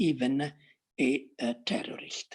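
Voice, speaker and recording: In an Italian accent, a woman speaks at a very slow pace against a quiet background. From Italy. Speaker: academic panelist. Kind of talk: academic talk. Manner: halting, many fillers.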